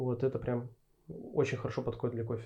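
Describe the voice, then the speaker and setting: A man speaks at a fairly quick pace, his dark, mellow tone somewhat breathy. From Urals, Russia. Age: 30s. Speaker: head barista. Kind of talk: interview. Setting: studio.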